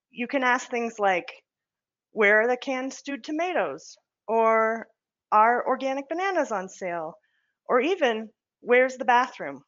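This woman speaks at a high pitch with lively intonation and a moderate pace. Her pauses are long and frequent. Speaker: accessibility specialist. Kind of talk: product presentation.

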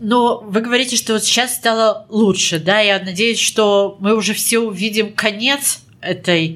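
It is a normal speaking voice at a fairly slow pace, with ordinary pitch variation. Loudness stays very even throughout. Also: woman. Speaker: podcast host. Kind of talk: interview. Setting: recorded in a hospital.

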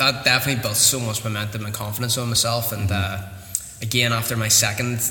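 A man's medium-pitched voice at a very fast clip with hardly any pauses, flat and monotone, with audible room echo and noticeable background noise. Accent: Northern Irish. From Northern Ireland, Newtownards (County Down). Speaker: mixed martial arts fighter and coach. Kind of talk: casual interview. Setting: martial arts academy.

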